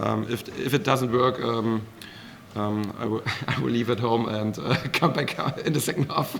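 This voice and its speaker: Medium-pitched male voice with a German accent, moderate pace, and noticeable background noise. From Germany. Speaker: professional darts player. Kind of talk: post-match press interview. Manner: halting, many fillers.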